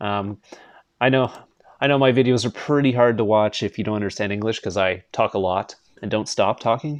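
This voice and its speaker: Against a quiet background, a man with a Canadian accent and an ordinary speaking voice talks at a fairly quick pace, his fairly low pitch showing ordinary variation. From Canada. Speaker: gaming streamer. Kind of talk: casual live stream chat. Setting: live stream.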